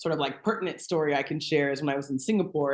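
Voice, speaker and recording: Pitch moves in an ordinary way here. It is an ordinary speaking voice, going at a fairly quick pace. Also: woman. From US, moved often (Texas, Louisiana, California). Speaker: TV host, guest on podcast. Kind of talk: interview, personal story.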